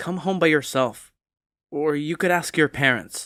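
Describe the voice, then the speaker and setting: A put-on character voice at a middle pitch. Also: moderate pace. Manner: angry.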